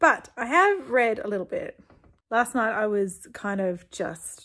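The woman here talks at a fairly slow pace. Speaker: book vlogger. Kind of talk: casual vlog chat. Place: home room. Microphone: phone near.

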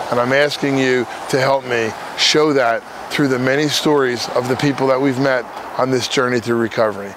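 A man talks at a fairly quick pace with flat, monotone intonation and very even loudness. The sound is dry with no echo, though noticeable background noise is present. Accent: American. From New Jersey. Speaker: recovering addict and former prisoner. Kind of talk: fundraising appeal to camera. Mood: earnest, heartfelt. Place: open country.

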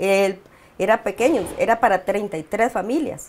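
This is a woman speaking. Her intonation is lively. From Costa Rica. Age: 50s. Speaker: community leader. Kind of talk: interview. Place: home room. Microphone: lapel.

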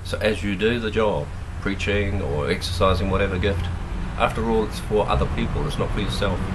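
A man with a very deep, low pitch at a fairly quick pace, ordinary pitch variation, and noticeable background noise. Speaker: preacher. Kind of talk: fiery sermon, preacher in full flow, rallying the church with rhetorical questions. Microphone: phone near.

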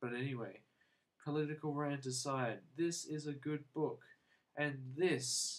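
This man speaks very slowly with an Australian accent. His pitch is fairly high, with ordinary pitch variation. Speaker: book and movie reviewer. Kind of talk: casual video review. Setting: home video to camera. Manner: mellow, relaxed.

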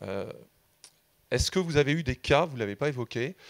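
Here a man speaks with ordinary pitch variation. Behind him the background is quiet. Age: 50s. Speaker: audience member. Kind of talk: audience question. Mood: earnest, reflective. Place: hall. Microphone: handheld.

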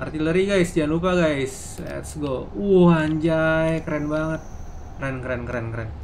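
A man speaks in a fairly high voice with ordinary pitch variation. Light background noise can be heard. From Indonesia. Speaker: gaming streamer. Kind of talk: live gameplay commentary. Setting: live stream. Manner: fast; animated. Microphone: headset.

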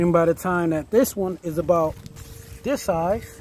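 Against light background noise, a man talks at a moderate pace and fairly high pitch, the sound dry with no echo. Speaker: home gardener vlogger. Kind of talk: casual garden tour vlog. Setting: outdoors in a garden. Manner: casual and enthusiastic. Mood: pleased, relaxed. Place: garden. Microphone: phone near.

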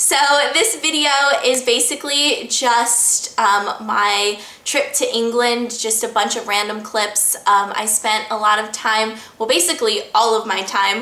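A woman speaks at a fairly slow pace with ordinary pitch variation. Audible room echo surrounds her voice. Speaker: vlogger. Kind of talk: casual vlog chat. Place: home room. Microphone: camera far.

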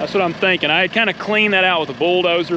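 The sound is dry with no echo, and noticeable background noise runs underneath. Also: man. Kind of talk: casual vlog chat. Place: open country. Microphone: phone near.

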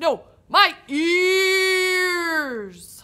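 Here a woman puts on a cartoonish character voice at an extremely high pitch. The recording is very clean, the background silent. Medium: puppet. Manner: patient.

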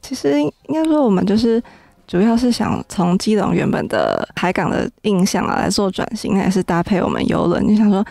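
A woman speaks at a moderate pace with lively intonation. The sound is dry with no echo over a quiet background. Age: young. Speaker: city tourism official; radio guest. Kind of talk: interview. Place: studio.

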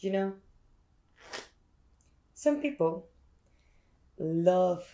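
With lively intonation and a playful tone, a woman speaks at a very slow pace in a somewhat breathy, dark, mellow voice. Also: quiet background. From Spain. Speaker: magician. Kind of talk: casual ASMR talk to camera. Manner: playful, chatty.

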